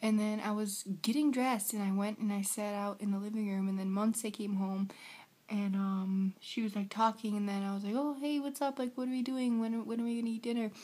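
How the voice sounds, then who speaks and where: A woman with an American accent speaks fairly quickly in a fairly high voice. Her tone is dark and mellow, and somewhat breathy. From United States. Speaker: vlogger. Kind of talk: casual vlog. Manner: animated.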